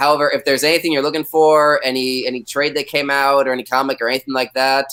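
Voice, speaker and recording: A loud man with a fairly high pitch, a bright, sharp tone, monotone, flat intonation and a fairly quick pace. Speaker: comic shop staff, trivia guest host. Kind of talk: live online trivia game hosting. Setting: live video stream.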